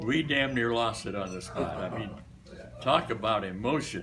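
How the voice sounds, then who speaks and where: A man with an American accent at a fairly slow pace, ordinary pitch variation and audible room echo. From US Midwest, Des Moines, Iowa. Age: 80s+. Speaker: retired barbershop singer. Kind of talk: after-lunch speech. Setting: luncheon club meeting. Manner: casual, hesitant with fillers.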